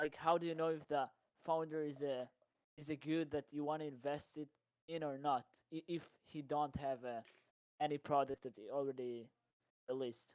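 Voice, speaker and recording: With a non-native accent, a man speaks at a moderate pace and a fairly high pitch, his intonation fairly even, his speech broken by long, frequent pauses, in a dry, close sound with no echo. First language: not English. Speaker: audience member asking a question. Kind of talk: Q&A question. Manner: halting.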